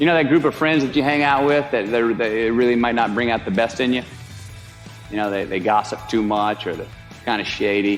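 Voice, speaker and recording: Music plays in the background. Over it, a man talks in a relaxed tone with lively intonation. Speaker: actor. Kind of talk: motivational speech. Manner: relaxed, drawling.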